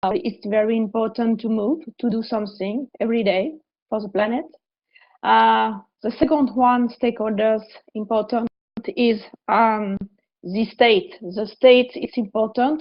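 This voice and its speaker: The speaker has a French accent and a fairly slow pace. Long, frequent pauses break up the speech. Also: woman, fairly high pitch for a woman, ordinary pitch variation. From France. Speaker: investment professional. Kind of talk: workshop presentation. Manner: halting.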